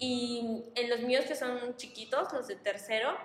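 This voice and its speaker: A woman with a high pitch speaks at a very slow pace with fairly even intonation. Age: 20s. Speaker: primary school teacher. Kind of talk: casual chat.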